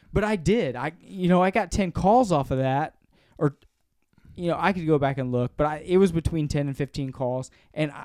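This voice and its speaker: With lively intonation, a man speaks at a fairly high pitch and a moderate pace in an unremarkable speaking voice, with a dry, close sound and no echo. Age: 40s. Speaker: podcast co-host and business owner. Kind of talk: casual chat.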